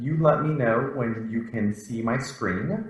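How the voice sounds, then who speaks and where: A man's medium-pitched voice, with ordinary pitch variation, carries audible room echo. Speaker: professor. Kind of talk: lecture. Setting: video call.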